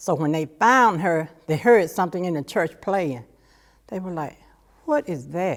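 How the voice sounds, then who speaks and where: Speaking with an Alabama accent, a woman with a fairly low pitch uses lively intonation on a very clean recording with a silent background. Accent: Southern US (Alabama). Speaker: church member. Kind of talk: oral history testimony. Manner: casual storytelling.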